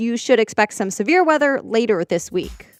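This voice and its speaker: A woman with a normal speaking voice talks at a fairly quick pace in a fairly high pitch with lively intonation, on a very clean recording with a silent background and a dry, close sound with no echo. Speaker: broadcast journalist. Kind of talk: news podcast read. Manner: upbeat, fast.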